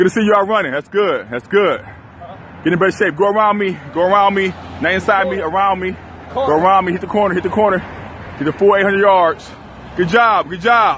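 Fairly quick, fairly even intonation from a man, in a dry sound with no echo and light background noise. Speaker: boot camp coach. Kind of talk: shouted coaching commands. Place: street. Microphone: phone near.

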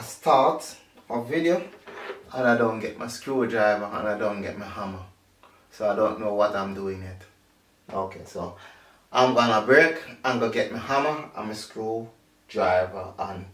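Long, frequent pauses mark a man's speech. Audible room echo surrounds him. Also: ordinary pitch variation, moderate pace. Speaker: home vlogger. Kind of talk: casual tutorial chat. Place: home room. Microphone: camera far.

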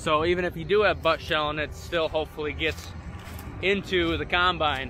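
At a fairly quick pace, a man with a high pitch speaks in a dry sound with no echo over noticeable background noise. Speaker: farmer vlogger. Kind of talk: casual vlog chat. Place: open country. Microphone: phone near.

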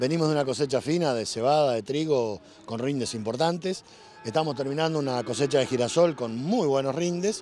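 The man's pitch is fairly high, with ordinary pitch variation at a fairly quick pace. The sound is dry with no echo, with light background noise. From Argentina, La Pampa. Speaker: farmer and politician. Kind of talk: interview. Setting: outdoors at a livestock auction. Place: farm machine.

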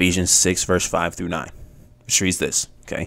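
This man's pitch is very deep and low. He speaks at a moderate pace. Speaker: bible teaching vlogger. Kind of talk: casual teaching vlog. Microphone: studio mic.

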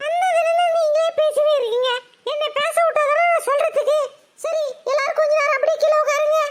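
In a cartoonish character voice pitched extremely high, a woman speaks at a moderate pace with lively intonation and very even loudness. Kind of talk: Tamil village colloquial. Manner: wheedling, persuasive.

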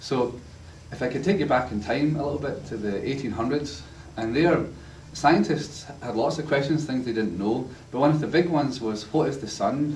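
Audible room echo and light background noise surround a man with a strong Glasgow accent and ordinary pitch variation. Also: moderate pace. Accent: strong Glaswegian Scottish. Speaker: university lecturer. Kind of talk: lecture. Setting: church class with live audience. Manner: humorous, storytelling. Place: classroom. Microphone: camera far.

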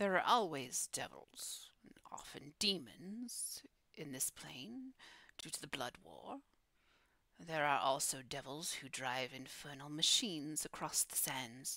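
A woman's put-on character voice, very deep and low-pitched, at a fairly slow pace. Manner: calm, solemn, cautionary.

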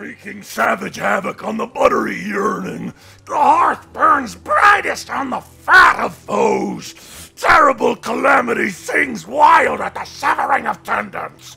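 A man speaks in an extremely high pitch with a menacing tone. His pace is fairly slow, and his loudness swings widely. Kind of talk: comedic voice acting table read. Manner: ranting, incoherent, menacing.

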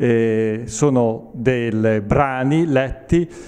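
A man's voice has a dark, mellow tone and ordinary pitch variation. The background is quiet. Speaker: event organizer. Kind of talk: interview answer. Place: hall. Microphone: handheld.

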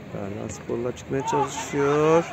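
Over clear background noise that includes clear crowd noise, a man speaks slowly at medium pitch with vocal fry and ordinary pitch variation.

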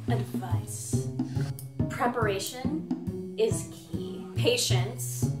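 A woman's voice with clear music in the background. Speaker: interview guest. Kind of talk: interview answer. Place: home room.

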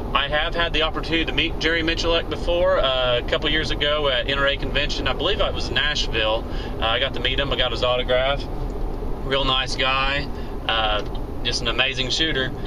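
Noticeable background noise runs behind the recording. A man talks at a fairly quick pace. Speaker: shooting hobbyist vlogger. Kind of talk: casual vlog chat. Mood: relaxed, friendly. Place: car. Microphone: phone near.

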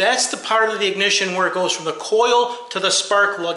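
With audible room echo, a man uses a raised, projected voice at a moderate pace and ordinary pitch variation. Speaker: car repair channel host. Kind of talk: tutorial. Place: garage. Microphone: phone near.

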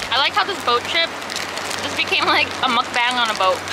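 A woman talking at a moderate pace over loud background noise. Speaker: vlogger. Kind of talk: casual vlog chat. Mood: relaxed, laughing. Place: boat. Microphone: phone near.

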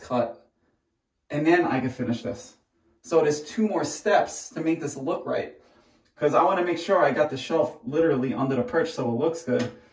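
A man talks at a moderate pace. Audible room echo surrounds his voice over a quiet background. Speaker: tile contractor. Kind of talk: casual work vlog explanation. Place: bathroom. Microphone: camera far.

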